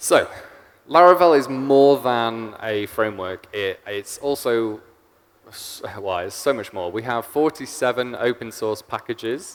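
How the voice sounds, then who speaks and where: A man with an English accent at a fairly slow pace, with ordinary pitch variation and big swings in loudness. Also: medium pitch for a man. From England. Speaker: software engineer, conference speaker. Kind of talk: conference talk. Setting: stage with audience.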